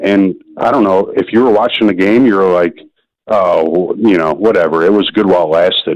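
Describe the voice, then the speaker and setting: A normal speaking voice with an American accent. The pace is moderate. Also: man. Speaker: caller. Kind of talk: radio call-in chat. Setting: phone call.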